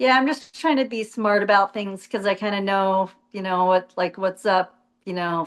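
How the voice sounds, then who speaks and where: Moderately paced speech in an American accent, a normal speaking voice with ordinary pitch variation. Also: woman, medium pitch for a woman. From US Southwest, Arizona. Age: 50s. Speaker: retired jet ski racer. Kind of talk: casual interview.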